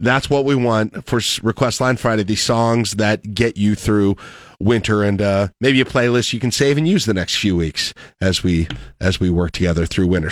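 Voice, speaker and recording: A man with a plain, everyday voice and lively intonation, dry and close with no echo, on a very clean recording with a silent background. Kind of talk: radio host introducing a meteorologist for a winter storm forecast call. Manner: chatty, easygoing morning-radio banter.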